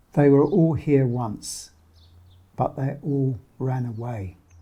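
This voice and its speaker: Somewhat breathy, dark and mellow tone from a man with a fairly high pitch, on a very clean recording with a silent background. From London, Somers Town. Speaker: documentary narrator. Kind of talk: scripted narration.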